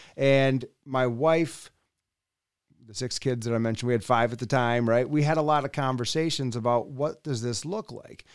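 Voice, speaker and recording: At a moderate pace and medium pitch, a man speaks with ordinary pitch variation and big swings in loudness on a very clean recording with a silent background. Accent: Upper Midwest. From West Michigan. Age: 40s. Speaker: political candidate. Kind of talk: interview. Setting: in-person studio.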